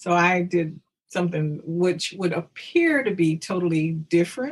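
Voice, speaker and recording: A woman speaks with a Southern US accent at a fairly low pitch. Her loudness stays very even throughout. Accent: Southern US (Georgia). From US South, rural Georgia. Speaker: historical reenactor. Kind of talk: interview. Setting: podcast.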